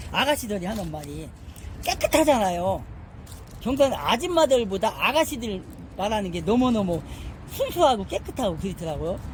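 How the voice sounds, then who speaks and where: Moderate pace over noticeable background noise. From Korea, Chungcheong province. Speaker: Bible study teacher. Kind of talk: Bible study lecture. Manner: conversational, with many fillers and hesitations.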